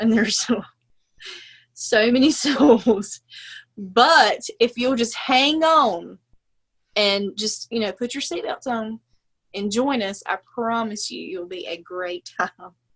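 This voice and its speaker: With an American accent, a woman with a fairly high voice speaks very slowly, leaving long, frequent pauses as her loudness swings widely. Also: lively intonation. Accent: Southern US drawl, thick when fired up. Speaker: podcast co-host. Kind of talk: casual podcast intro. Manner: animated.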